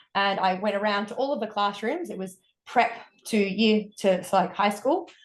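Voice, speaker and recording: A woman speaks at a moderate pace with an Australian accent, her pitch medium and its variation ordinary. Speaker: wellness coach. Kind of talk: podcast interview.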